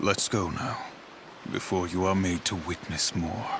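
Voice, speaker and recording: Over clear background noise, a man uses a put-on character voice with a very deep, low pitch. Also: moderate pace. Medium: video game. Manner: grave, commanding.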